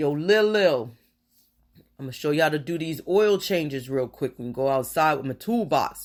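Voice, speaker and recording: Gruff and fairly high-pitched, a man puts on a character voice at a moderate pace in a very clean recording with a silent background. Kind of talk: casual, streetwise.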